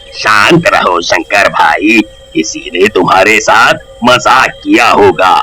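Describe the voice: Over clear background noise, a man puts on a cartoonish character voice and speaks at a very slow pace.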